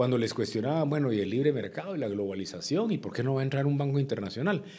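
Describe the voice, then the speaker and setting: Lively intonation marks a man's dark, mellow tone. The background stays quiet. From Guatemala. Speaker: former politician and businessman; former politician. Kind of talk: interview. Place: studio. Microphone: studio mic.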